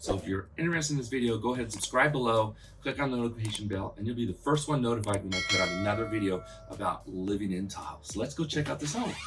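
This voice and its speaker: A man talks at a very fast pace in an animated tone with lively intonation and a medium pitch, over noticeable background noise. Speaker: real estate agent and video host. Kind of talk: property tour. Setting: outdoors.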